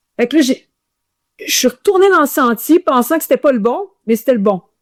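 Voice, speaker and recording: A woman with a Quebec accent talks at a moderate pace in a high pitch, the sound dry and close with no echo. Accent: Quebec French accent audible in English. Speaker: ultramarathon runner. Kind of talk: casual interview storytelling. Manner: animated, hesitant with many repetitions.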